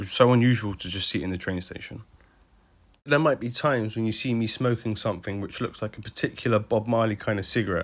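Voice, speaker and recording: In an English accent, a man of medium pitch talks at a very fast pace with ordinary pitch variation. The recording is very clean and the background silent. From UK. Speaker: travel vlogger. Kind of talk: travel vlog narration. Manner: casual, conversational.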